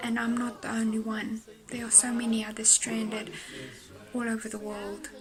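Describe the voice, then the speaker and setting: The voice moves at a moderate pace while music plays in the background. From South Africa. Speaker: stranded traveller. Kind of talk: public appeal.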